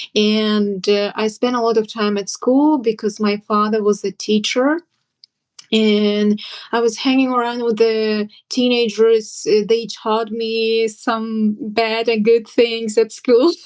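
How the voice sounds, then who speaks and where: A woman's very slow, fairly high-pitched voice in a Siberian accent, with fairly even intonation. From Yakutia, Siberia (Sakha village). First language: Sakha. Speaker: interviewee sharing personal cultural reflections. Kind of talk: personal interview testimony. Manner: hesitant, with many fillers.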